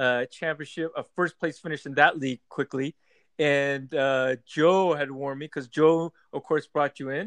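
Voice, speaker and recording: There is an ordinary speaking voice here, from a man with a fairly high pitch at a moderate pace. The sound is dry and close with no echo. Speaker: fantasy football podcast host. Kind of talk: casual podcast chat.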